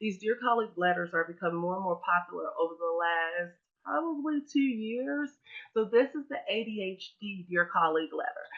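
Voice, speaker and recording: A woman with an American accent speaks at a fairly quick pace in a medium pitch, her pitch swinging very widely and her loudness rising and falling in big swings. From US Midwest. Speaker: webinar presenter, education trainer. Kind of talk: webinar presentation. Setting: online webinar. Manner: casual, filler-heavy.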